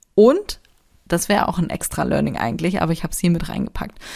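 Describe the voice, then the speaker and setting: Here a woman speaks. Vocal fry runs through her voice. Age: 30s. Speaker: podcast host, self-employed creative. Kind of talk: casual solo monologue with tips. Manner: animated, colloquial.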